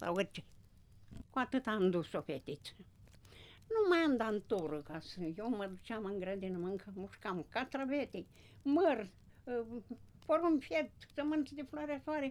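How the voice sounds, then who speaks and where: A woman speaks with a fairly high pitch and very wide swings in her intonation. Her pace is fairly slow, broken by long, frequent pauses. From Romania, Bărăgan plain, Brăila county. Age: 80s+. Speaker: retired farm worker. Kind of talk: life-story interview. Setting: village home by the fire.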